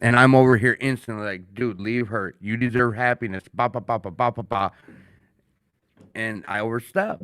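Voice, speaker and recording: A man with a Minnesotan accent, a medium-pitched voice, and an animated tone at a moderate pace, with ordinary pitch variation and a dry, close sound without echo. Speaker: podcast host. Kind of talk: casual chat. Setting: studio.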